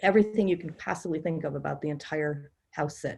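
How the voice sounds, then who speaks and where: A woman speaks at a fairly quick pace. Hers is an unremarkable speaking voice. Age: 60s. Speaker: experienced house sitter and author. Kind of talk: casual group discussion.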